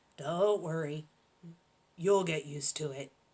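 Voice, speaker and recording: At a middle pitch, a put-on character voice delivers its lines at a moderate pace. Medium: read story. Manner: surly.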